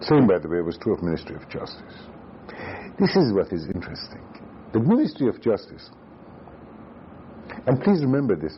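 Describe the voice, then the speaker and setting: Long, frequent pauses break up a man's fairly quick, medium-pitched speech, which swings very widely in pitch. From Iran, Tehran. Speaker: former central banker and economist. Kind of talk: oral history interview. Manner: halting.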